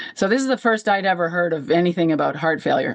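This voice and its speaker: In a plain, everyday voice, a woman with a fairly low pitch talks at a fairly quick pace with lively intonation. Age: 60s. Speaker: heart failure patient sharing her story. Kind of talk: personal testimony.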